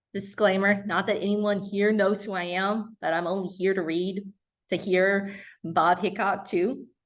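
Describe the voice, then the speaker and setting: A woman with an American accent speaks at a fairly slow pace in a medium pitch. Her intonation is monotone and flat, and the background is quiet. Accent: slight Mississippi Delta, varies. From US South, Mississippi Delta. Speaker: poet. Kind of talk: casual remarks to audience; poetry reading.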